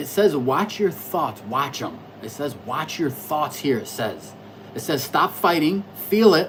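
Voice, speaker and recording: Noticeable background noise sits under the speech. The pace is fairly slow. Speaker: astrology livestreamer. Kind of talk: casual livestream monologue. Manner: loud.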